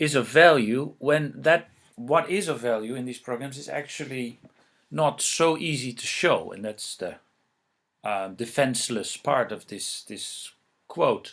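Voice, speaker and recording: With a Dutch accent, the speaker talks at a fairly slow pace, with ordinary pitch variation and big swings in loudness. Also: man, fairly high pitch for a man. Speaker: researcher presenting on legal empowerment. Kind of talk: lecture. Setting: presentation with slides. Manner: halting, many fillers.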